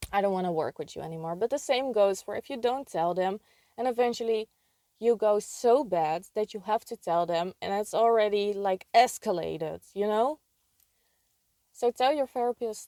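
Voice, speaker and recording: Heard in a dry, close sound with no echo, a woman of medium pitch with a non-native accent has a dark, mellow tone and ordinary pitch variation. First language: not English. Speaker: video creator sharing personal experience. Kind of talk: casual advice monologue.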